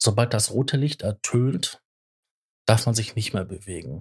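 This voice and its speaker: Recorded with a dry, close sound and no echo, a man speaks at a medium pitch, somewhat breathy, with ordinary pitch variation. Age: 40s. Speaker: podcast co-host. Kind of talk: casual chat.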